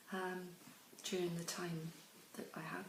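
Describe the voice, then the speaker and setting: In a British accent, a woman talks at a very slow pace with a somewhat breathy voice and monotone, flat intonation. Audible room echo surrounds her. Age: 60s. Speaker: pension campaigner. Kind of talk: testimony. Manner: hesitant, many fillers.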